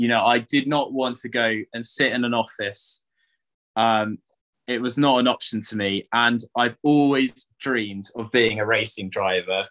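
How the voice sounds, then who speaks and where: A man in a normal speaking voice, medium in pitch, fairly slow and fairly even in intonation, against a quiet background. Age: 20s. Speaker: racing driver; guest. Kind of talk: interview. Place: home room. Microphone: video call.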